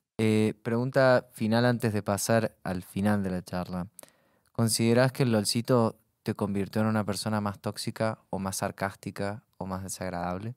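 At a moderate pace, a man speaks with fairly even intonation in a dry sound with no echo. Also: fairly low pitch for a man, quiet background. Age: 20s. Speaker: podcast host. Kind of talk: casual interview. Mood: relaxed, joking. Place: studio. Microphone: studio mic.

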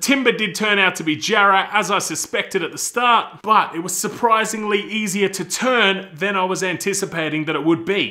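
This man talks in a raised, projected voice with a bright, sharp tone over a quiet background. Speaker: woodworking channel host. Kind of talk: casual vlog chat. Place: workshop.

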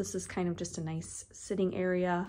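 A woman at a fairly slow pace, over light background noise. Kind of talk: casual home tour narration. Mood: warm, relaxed. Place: home room. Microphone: phone near.

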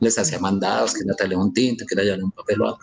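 Words come at a very fast pace while the intonation stays fairly even. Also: man. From Colombia. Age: 50s. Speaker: wrongfully convicted former court clerk; interviewee. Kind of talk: interview testimony. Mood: earnest, aggrieved. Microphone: video call.

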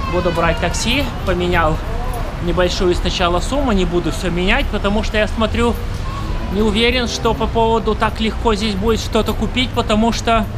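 Music plays in the background as a man speaks at a moderate pace with ordinary pitch variation. He leaves long, frequent pauses. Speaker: travel vlogger. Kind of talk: casual vlog chat. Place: street. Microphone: phone near.

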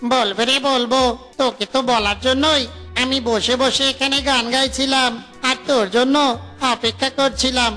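A cartoonish, high-pitched, female-sounding character voice over clear background music. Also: moderate pace. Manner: jolly, joking.

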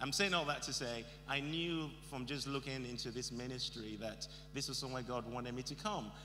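A man speaks in a bright, sharp tone with ordinary pitch variation. Light background noise can be heard. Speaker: guest preacher. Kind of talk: sermon. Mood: warm, lightly humorous. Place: hall. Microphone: handheld.

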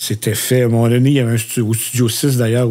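A man talks at a medium pitch. His tone is dark and mellow. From Quebec, Repentigny. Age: 60s. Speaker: podcast co-host. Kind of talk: casual chat. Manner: halting, many fillers.

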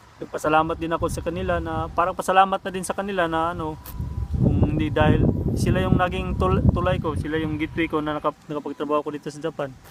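Amid noticeable background noise, a man with a fairly high pitch talks very fast with ordinary pitch variation. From Visayas or Mindanao, Philippines. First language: Cebuano (Bisaya) (speaking Tagalog). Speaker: vlogger, overseas worker. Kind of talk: casual vlog talk. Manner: halting, with many fillers.

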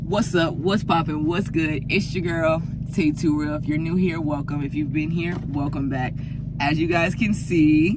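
A woman's voice, dry with no echo, under loud background noise. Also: moderate pace. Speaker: vlogger. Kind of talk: casual vlog chat. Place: car.

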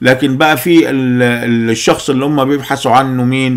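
A man speaks with an Egyptian accent. His pitch is medium, and the background is quiet. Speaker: political commentator. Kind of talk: political monologue. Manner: animated. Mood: angry, critical. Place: home room.

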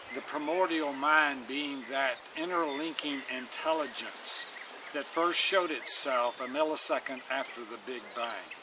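A man at a fairly slow pace, dry sound with no echo, noticeable background noise. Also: fairly even intonation. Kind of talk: informal lecture-style summary. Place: garden. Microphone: camera far.

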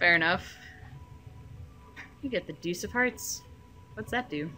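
With music in the background, a woman speaks at a moderate pace in a fairly low voice that makes very wide pitch swings. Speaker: gamer. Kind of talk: casual banter.

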